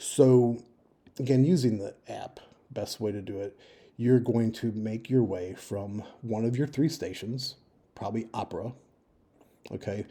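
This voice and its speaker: A man's dark, mellow voice at medium pitch and a moderate pace, on a very clean recording with a silent background. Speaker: travel advice video maker. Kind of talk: informal screen-share walkthrough. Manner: casual with fillers.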